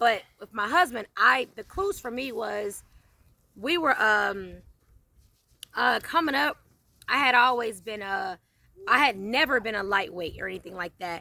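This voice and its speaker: A fairly high female voice with a bright, sharp tone, very wide pitch swings, big swings in loudness, long, frequent pauses and a fairly slow pace. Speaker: channel owner sharing personal testimony. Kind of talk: casual interview and testimony. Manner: stutters when emotional.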